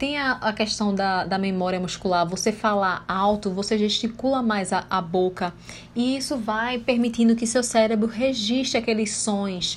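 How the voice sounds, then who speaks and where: A somewhat breathy woman's voice, fairly high in pitch, with fairly even intonation and a moderate pace. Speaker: English teacher. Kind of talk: tutorial.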